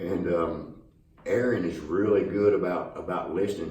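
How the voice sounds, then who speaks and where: Background noise is noticeable. Room echo can be heard as well. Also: man. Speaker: country singer-songwriter. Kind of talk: casual interview.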